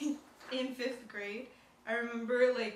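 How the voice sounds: Strong room echo surrounds a woman speaking at a fairly high pitch. Her pitch moves very little. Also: fairly slow pace.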